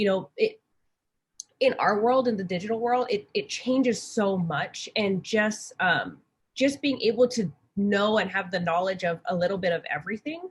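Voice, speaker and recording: A woman with a somewhat breathy, medium-pitched voice speaks at a moderate pace with lively intonation. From Hawaii. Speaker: graphic design manager for sports team. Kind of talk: panel conversation. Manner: hesitant, many fillers.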